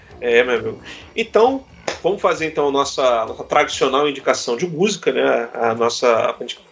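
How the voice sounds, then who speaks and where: Noticeable background noise is present. A man talks through it at a moderate pace. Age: 40s. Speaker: podcast host. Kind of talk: casual chat.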